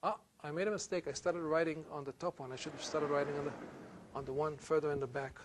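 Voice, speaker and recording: Speaking very fast at a fairly high pitch, a man with an Israeli accent is heard over noticeable background noise. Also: fairly even intonation. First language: Hebrew. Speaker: university lecturer. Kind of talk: lecture.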